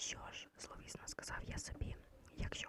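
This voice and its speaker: The voice is a whisper. Noticeable background noise is present throughout. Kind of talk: ASMR bedtime story reading. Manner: soft, quiet, intimate.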